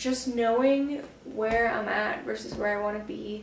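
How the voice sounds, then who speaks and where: A woman speaks at a moderate pace. Light background noise and audible room echo are present. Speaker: vlogger, bullet journaler. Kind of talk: casual talk to camera. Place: home room. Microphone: camera far.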